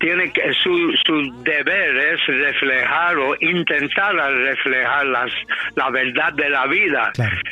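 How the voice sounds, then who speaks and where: Over noticeable background noise, a man with an American accent speaks at a very slow pace and at very even loudness. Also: fairly high pitch for a man, ordinary pitch variation. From New York City. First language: English (speaking Spanish). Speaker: salsa singer. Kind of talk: interview. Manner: halting, many fillers.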